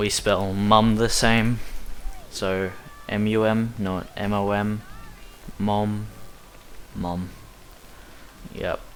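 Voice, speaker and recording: A man with an Australian accent talks at a very slow pace, leaving long, frequent pauses, in a fairly low, monotone voice with flat intonation. Room echo is audible. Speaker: speedrunner. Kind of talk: gameplay commentary. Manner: casual, rambling commentary.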